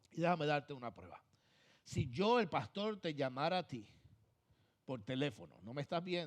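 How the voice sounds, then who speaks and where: The speaker's pitch swings very widely at a moderate pace. The background is quiet. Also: man. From Puerto Rico. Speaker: pastor. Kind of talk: sermon. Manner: emphatic, repetitive preaching.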